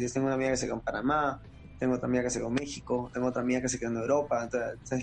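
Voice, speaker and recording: This man talks very fast, holding a medium pitch with fairly even intonation. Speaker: gamer and streamer. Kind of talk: casual interview. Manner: casual, halting with repetitions.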